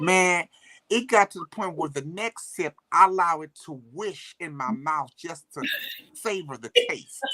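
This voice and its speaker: With a St. Louis accent, a man speaks in an animated, bright, sharp tone at a high pitch, the sound dry and close with no echo. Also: ordinary pitch variation, fairly slow pace, big swings in loudness. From US Midwest, St. Louis. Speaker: livestream co-host. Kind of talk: casual chat.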